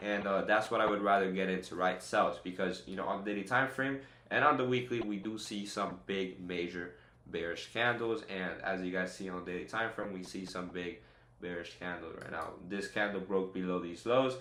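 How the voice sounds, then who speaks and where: An energetic male voice, fairly low in pitch, bright and sharp in tone, with ordinary pitch variation and audible room echo. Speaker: day trader streamer. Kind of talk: live trading tutorial. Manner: fast; energetic, casual.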